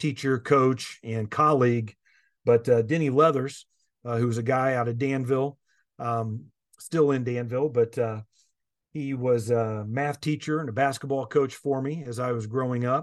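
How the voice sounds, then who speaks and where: A man talks with a Midwestern American accent and fairly even intonation. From Indiana. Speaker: education association executive. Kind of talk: interview. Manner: hesitant, many fillers.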